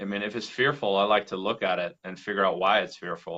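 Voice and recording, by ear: Speaking at a fairly quick pace, a man has a low pitch, a bright, sharp tone and fairly even intonation.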